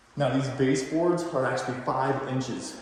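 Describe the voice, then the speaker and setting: Speech comes at a moderate pace with monotone, flat intonation. Noticeable background noise and audible room echo are present. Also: man. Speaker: real estate agent. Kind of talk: home tour walkthrough. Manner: casual, slightly halting.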